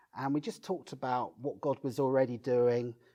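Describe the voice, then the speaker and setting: A man speaks with a Brighton accent in a dark, mellow tone. His pace is moderate and his pitch varies in an ordinary way. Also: very clean recording, silent background. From southern England, Brighton. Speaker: pastor and church planter. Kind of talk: interview.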